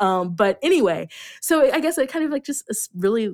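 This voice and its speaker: In a very clean recording with a silent background, a woman speaks with very wide pitch swings in a dry, close sound with no echo. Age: 30s. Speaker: podcast host and film reviewer guest. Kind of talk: casual chat. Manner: hesitant, many fillers.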